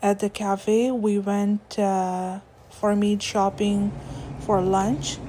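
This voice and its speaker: Speaking very slowly, a woman with a Pakistani accent holds a medium pitch in a monotone, flat intonation. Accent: South Asian (Pakistani) English. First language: Urdu. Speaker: lifestyle vlogger. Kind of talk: vlog voiceover narration. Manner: hesitant with fillers.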